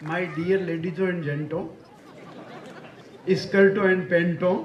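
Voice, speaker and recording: A high-pitched man's voice with audible room echo and noticeable background noise. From Rajasthan (Marwar). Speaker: comedian poet. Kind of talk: stand-up. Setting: stage with audience. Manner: animated.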